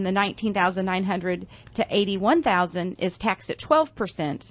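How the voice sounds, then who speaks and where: Here is a woman talking. Her pitch sits in the medium range. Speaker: financial planner radio co-host. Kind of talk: radio talk show chat. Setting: radio studio. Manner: fast.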